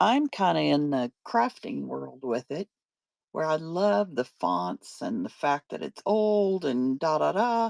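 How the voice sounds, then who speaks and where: At a very slow pace, a woman speaks in a dry, close sound with no echo. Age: 60s. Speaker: online paper craft seller. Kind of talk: live selling stream. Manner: casual, chatty.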